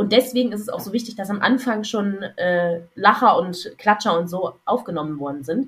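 A somewhat breathy woman speaks at a moderate pace. Her pitch varies in an ordinary way. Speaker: podcast co-host. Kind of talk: casual chat.

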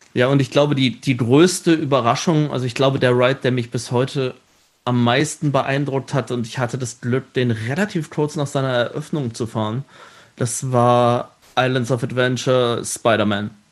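An unremarkable speaking voice with fairly even intonation at a moderate pace, over a quiet background. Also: man, medium pitch for a man. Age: 30s. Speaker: show writer and theme park entertainment director. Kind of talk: casual interview.

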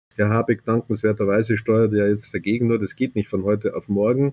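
A man speaks with a dark, mellow tone at a medium pitch. His intonation is monotone and flat. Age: 60s. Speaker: business executive. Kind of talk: interview.

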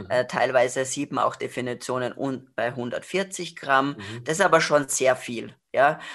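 A woman speaks with a very deep, low pitch and big swings in loudness, at a fairly slow pace. She hardly pauses, and the background is quiet. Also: ordinary pitch variation. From Austria, Salzburg. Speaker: nutrition expert and author. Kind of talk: expert interview.

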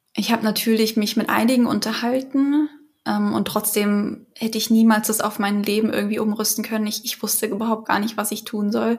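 At a fairly quick pace, a woman speaks at a fairly high pitch with monotone, flat intonation. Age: 30s. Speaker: patient advocate, works in film industry. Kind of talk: interview testimony. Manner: halting.

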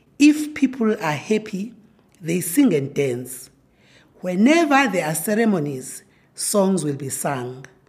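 A woman with a Zulu accent speaks fairly slowly at a medium pitch. Her voice is somewhat breathy, with very wide pitch swings. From South Africa, rural KwaZulu-Natal. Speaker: professor. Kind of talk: interview.

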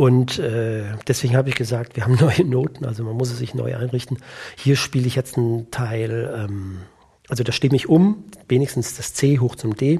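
A man with a dark, mellow, somewhat breathy voice speaks at a medium pitch and a moderate pace, with ordinary pitch variation. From Germany, Siegerland. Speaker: orchestra percussionist and timpanist. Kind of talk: casual interview chat.

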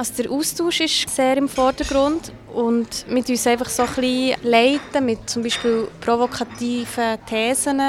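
A woman's high-pitched voice at a fairly slow pace, with fairly even intonation and noticeable background noise. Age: young. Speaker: loneliness activist. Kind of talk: interview.

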